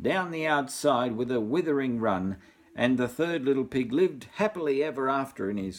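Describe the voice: The speech is plain reading aloud with lively intonation.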